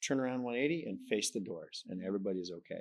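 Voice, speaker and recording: With ordinary pitch variation, the speaker talks very fast. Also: man. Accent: slight Canadian. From Canada. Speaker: professor. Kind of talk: interview. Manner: conversational, informal.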